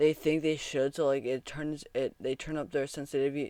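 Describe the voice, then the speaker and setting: A quiet man's voice, fairly high in pitch and monotone, with flat intonation, on a very clean recording with a silent background and a dry, close sound with no echo. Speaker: sports podcast host. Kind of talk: casual reaction commentary. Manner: self-correcting, halting.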